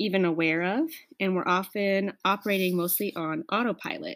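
Speaking at a moderate pace, a woman with an American accent has a medium pitch. The recording is very clean, with a silent background. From US Midwest, Nebraska. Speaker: podcast host, palliative care doctor. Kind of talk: solo self-help talk. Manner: warm, conversational.

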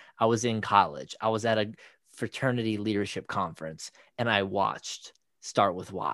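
Against a quiet background, a man talks in a plain, everyday voice with a fairly low pitch and ordinary pitch variation. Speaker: podcast co-host. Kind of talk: casual conversation.

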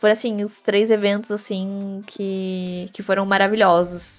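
A woman's voice at medium pitch. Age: 20s. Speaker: medical student and gaming influencer. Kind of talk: interview.

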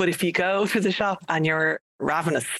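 A woman with an Irish accent at a moderate pace. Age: 40s. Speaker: podcast co-host. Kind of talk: casual chat.

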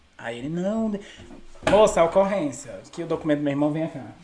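A man's very fast speech with lively intonation over noticeable background noise. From Brasília satellite cities, Brazil. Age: 20s. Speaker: comedian. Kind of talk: casual chat.

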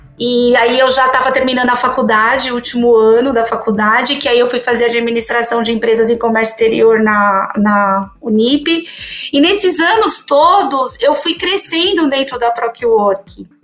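Speaking in a high pitch, a woman keeps a moderate pace with ordinary pitch variation. Noticeable background noise runs underneath. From São Paulo city, Brazil. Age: 40s. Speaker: account director in tech. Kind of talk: interview conversation.

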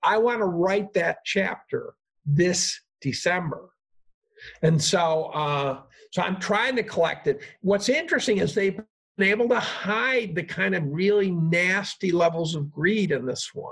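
Speaking at a fairly slow pace, a man with a high voice and an American accent uses ordinary pitch variation. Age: 60s. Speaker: professor. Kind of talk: casual interview chat.

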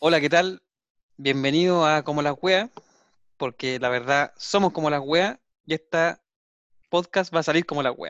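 A man speaks at a moderate pace with a fairly high pitch and ordinary pitch variation, leaving long, frequent pauses, in a dry, close sound with no echo. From Chile. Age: 30s. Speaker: podcast co-host, engineer. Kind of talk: casual chat.

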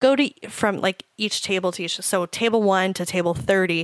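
A woman speaks at medium pitch in a very clean recording with a silent background. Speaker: podcast host. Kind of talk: casual chat. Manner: animated.

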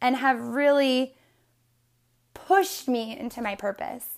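An animated woman's voice, high-pitched, with an American accent and ordinary pitch variation, on a very clean recording with a silent background. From US Northeast (northeastern Pennsylvania). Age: 20s. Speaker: podcast host and life coach. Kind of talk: solo podcast monologue.

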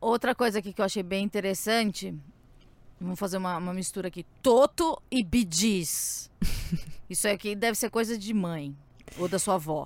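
A woman with a medium pitch and ordinary pitch variation speaks in an animated tone at a moderate pace, leaving long, frequent pauses. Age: 30s. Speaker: podcast host. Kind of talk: casual chat.

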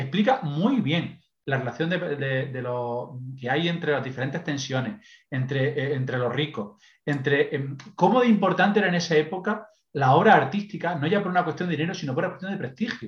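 A man talks at a fairly high pitch with lively intonation. His voice is somewhat breathy. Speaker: podcast contributor, book reviewer. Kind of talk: casual chat. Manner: fast.

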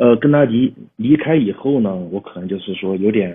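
A man speaks with ordinary pitch variation. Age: 40s. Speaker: caller. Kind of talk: casual chat. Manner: halting.

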